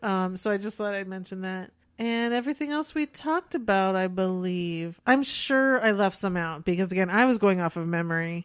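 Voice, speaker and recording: On a very clean recording with a silent background, a woman of medium pitch speaks at a moderate pace with lively intonation and hardly any pauses, an unremarkable speaking voice. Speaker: podcast co-host. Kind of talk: casual chat.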